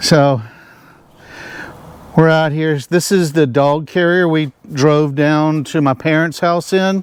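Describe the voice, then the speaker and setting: In a Southern US accent, the speaker talks at a very slow pace with long, frequent pauses and fairly even intonation. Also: man, fairly high pitch for a man. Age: 60s. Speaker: RV vlogger. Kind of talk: casual vlog narration.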